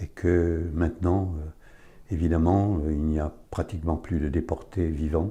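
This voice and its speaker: Speaking at a very slow pace with hardly any pauses, this voice has a dark, mellow tone, a somewhat breathy quality and a monotone, flat intonation over a quiet background. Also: man, very deep, low pitch for a man. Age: 80s+. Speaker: son of a deportee giving testimony. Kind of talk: testimony. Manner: halting.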